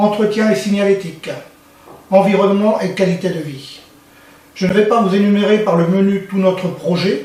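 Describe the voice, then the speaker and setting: A high-pitched man at a fairly slow pace, with fairly even intonation, audible room echo and noticeable background noise. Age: 60s. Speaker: local election candidate. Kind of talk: campaign speech. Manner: formal.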